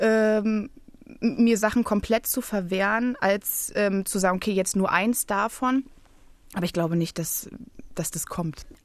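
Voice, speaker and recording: At a fairly slow pace with long, frequent pauses, a woman speaks at a fairly high pitch with ordinary pitch variation. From Berlin, Germany. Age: 20s. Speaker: playwright. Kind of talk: casual chat. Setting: radio studio.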